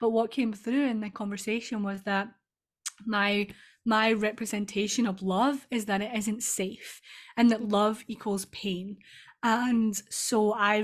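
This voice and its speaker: Speaking with a strong Scottish accent, a woman talks at a fairly slow pace in a fairly high, somewhat breathy voice. Her intonation is monotone and flat. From Scotland. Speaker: EFT tapping practitioner and business coach. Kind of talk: casual interview chat.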